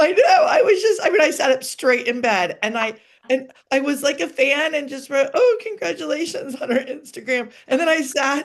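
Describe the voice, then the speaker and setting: This woman's voice is high-pitched. Her intonation is lively. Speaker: celebrity wedding planner. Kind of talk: podcast interview. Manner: fast; animated.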